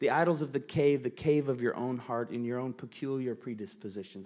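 A man with an American accent uses a normal speaking voice at medium pitch, talking at a fairly quick pace with ordinary pitch variation. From United States. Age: 40s. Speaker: pastor. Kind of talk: sermon. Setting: church.

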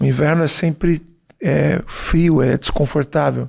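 Vocal fry colors a man's fairly high-pitched voice as he speaks at a fairly slow pace. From Brazil. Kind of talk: interview answers. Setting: in Florence before a concert.

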